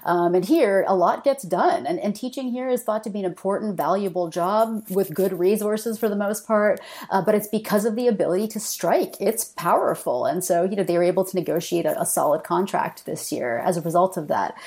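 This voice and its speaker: A woman with a Canadian accent has a normal speaking voice and a medium pitch. She talks at a fairly quick pace with lively intonation and hardly any pauses. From Canada. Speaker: political philosopher, professor. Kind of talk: interview discussion.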